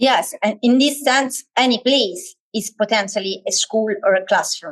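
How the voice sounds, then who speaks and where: A woman with an Italian accent speaks at a fairly slow pace with a fairly high pitch and lively intonation. Her loudness stays very even, in a dry, close sound with no echo. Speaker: education lecturer. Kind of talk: online workshop lecture. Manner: halting, many fillers.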